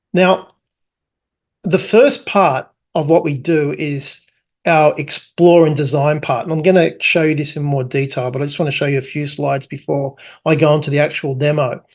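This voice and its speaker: This is delivered at a moderate pace. It is spoken with an Australian accent. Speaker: tech company founder presenting product. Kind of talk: product presentation. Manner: casual with many fillers.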